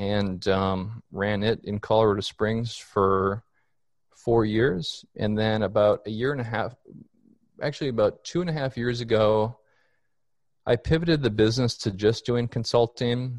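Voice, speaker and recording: At a fairly slow pace, a man with an American accent speaks in an unremarkable speaking voice of medium pitch with ordinary pitch variation. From Minnesota, Minneapolis. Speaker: tree risk consultant. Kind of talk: casual chat.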